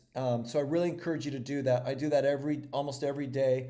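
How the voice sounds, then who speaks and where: The speaker is a man with a fairly high pitch. Audible room echo surrounds his voice. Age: 60s. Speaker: organic food company founder and regenerative farming advocate. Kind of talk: interview. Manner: halting, many repetitions and fillers.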